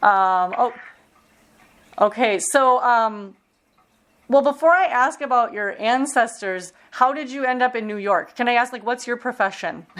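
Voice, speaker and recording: Using a high pitch and lively intonation, a woman with an American accent talks at a fairly slow pace with long, frequent pauses. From Minnesota, US Midwest. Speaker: oral history interviewer. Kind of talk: oral history interview.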